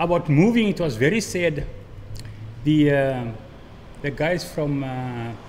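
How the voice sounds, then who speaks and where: There is audible room echo as a man speaks in a fairly high voice at a fairly slow pace. His intonation is lively, broken by long, frequent pauses. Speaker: former resident. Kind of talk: testimony.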